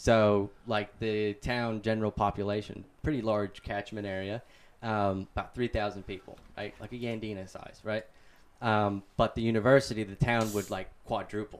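At a moderate pace, a man with an American accent speaks in a monotone, flat intonation. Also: fairly low pitch for a man. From US Midwest (Ohio). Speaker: podcast guest. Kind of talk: casual chat. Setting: studio.

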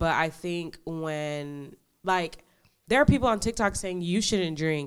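A woman's very deep, low voice with an American accent, at a fairly slow pace, on a very clean recording with a silent background. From New York. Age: 20s. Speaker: law enforcement officer. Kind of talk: casual chat.

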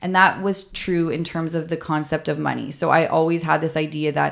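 A woman with a Canadian accent and a very deep, low pitch speaks at a fairly quick pace. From Canada, Toronto. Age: 30s. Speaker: podcast host, former mental health nurse. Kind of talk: personal storytelling monologue.

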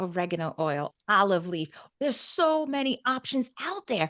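A woman with a New York accent and very wide pitch swings, dry and close with no echo, against a quiet background. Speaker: wellness coach and speaker. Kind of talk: casual interview chat.

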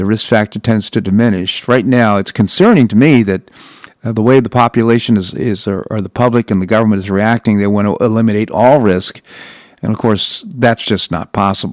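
A man with an ordinary speaking voice and an American accent talks at a fairly quick pace, his fairly low pitch showing ordinary variation, in a dry, close sound with no echo. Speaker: radio talk show host. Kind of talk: talk radio interviews and news commentary. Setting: studio.

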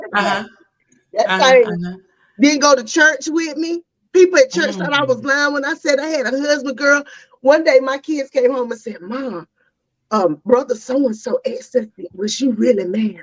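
Her voice pitched high, a woman sounds animated, with lively intonation. She keeps a moderate pace while her loudness swings widely. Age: 40s. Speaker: podcast host, divorcee guest. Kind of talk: casual chat.

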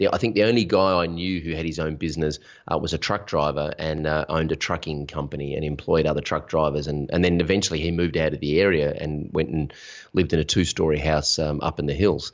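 Speaking very fast with an Australian accent, a man uses a very deep, low pitch and fairly even intonation. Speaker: online business coach. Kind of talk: interview. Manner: authoritative.

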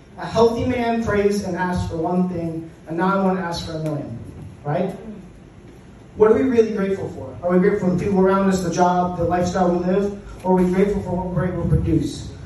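A man talks very fast in a high voice with ordinary pitch variation. Noticeable background noise and audible room echo surround him. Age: 20s. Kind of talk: motivational talk. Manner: animated.

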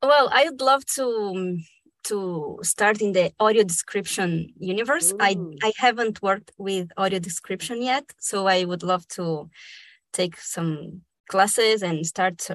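A woman with a Spanish accent speaks very slowly at a medium pitch, with ordinary pitch variation, against a quiet background. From Argentina, raised in Brazil. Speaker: dubbing actor and director, fellowship recipient. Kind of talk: casual interview conversation.

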